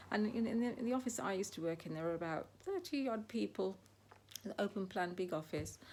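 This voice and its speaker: A woman talks at a very fast pace, her medium pitch moving with ordinary variation. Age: 60s. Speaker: lifestyle vlogger. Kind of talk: casual monologue. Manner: hesitant, many fillers.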